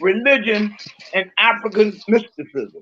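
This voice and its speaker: Speaking in a raised, projected voice, a man goes at a fairly slow pace with ordinary pitch variation. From Virginia, Lynchburg. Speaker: imam. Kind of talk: interview.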